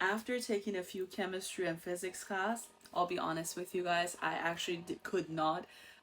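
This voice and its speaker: Fairly even intonation at a moderate pace. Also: woman. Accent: Iranian. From Iran. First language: Persian. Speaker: insurance agent and show host. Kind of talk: personal story monologue. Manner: casual, with fillers.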